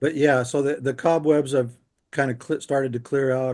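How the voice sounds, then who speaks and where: A man with a normal speaking voice talks at a moderate pace, medium in pitch, with fairly even intonation. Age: 60s. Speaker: near-death experiencer, interview guest. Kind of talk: casual chat.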